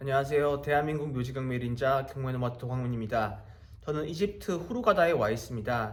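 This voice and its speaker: Speech comes at a very fast pace, somewhat breathy, with ordinary pitch variation. Audible room echo surrounds it. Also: man. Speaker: real estate auction investor and YouTuber. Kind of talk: casual explainer monologue. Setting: abroad in Egypt while traveling.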